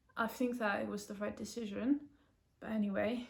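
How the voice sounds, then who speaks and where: Monotone and flat in intonation, a woman with a fairly high pitch and vocal fry speaks at a moderate pace. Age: 20s. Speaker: patient sharing illness story. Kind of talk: personal testimony vlog. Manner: casual, hesitant with fillers.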